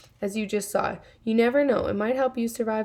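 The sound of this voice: An unforced reading voice, its intonation fairly even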